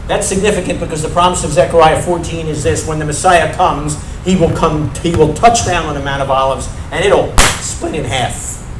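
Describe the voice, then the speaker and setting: Noticeable background noise and audible room echo surround a man with a fairly high voice speaking at a moderate pace. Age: 60s. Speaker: messianic rabbi. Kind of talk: sermon.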